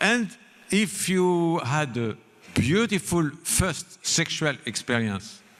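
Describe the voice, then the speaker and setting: Very slowly, a man speaks at a high pitch with very wide pitch swings. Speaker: spiritual leader giving a seminar lecture. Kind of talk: seminar lecture delivered with simultaneous interpretation. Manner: slow, deliberate, paced for an interpreter.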